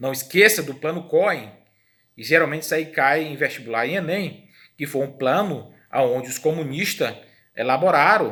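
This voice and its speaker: A man's fairly high voice with a Brazilian accent, bright and sharp in tone, at a moderate pace with ordinary pitch variation, plus audible room echo. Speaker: history teacher. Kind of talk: lecture.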